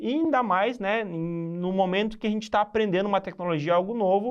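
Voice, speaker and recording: High male pitch, a fairly quick pace and ordinary pitch variation. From southern Brazil, Rio Grande do Sul (Santa Maria). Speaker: podcast host. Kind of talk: podcast interview.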